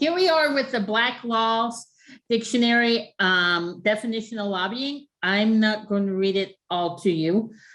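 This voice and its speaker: In an ordinary speaking voice, the speaker talks at a moderate pace with lively intonation. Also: woman. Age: 60s. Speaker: grants management consultant. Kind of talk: webinar presentation.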